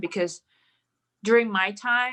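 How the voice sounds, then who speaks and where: Speaking at a moderate pace in a Mandarin accent, a woman has a bright, sharp tone and ordinary pitch variation. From Malaysia. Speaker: professional golfer. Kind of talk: podcast interview.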